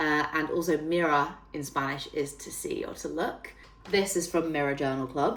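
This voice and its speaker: Someone with a northern English accent talks at a moderate pace in an animated tone, with audible room echo. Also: woman, very deep, low pitch for a woman. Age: 30s. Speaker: fitness trainer and self-development YouTuber. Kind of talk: casual vlog tutorial. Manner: chatty, animated.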